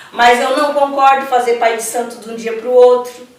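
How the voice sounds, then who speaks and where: Through audible room echo and noticeable background noise, a woman speaks at a high pitch. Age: 60s. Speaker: Afro-Brazilian religious priestess. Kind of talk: interview. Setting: at her temple.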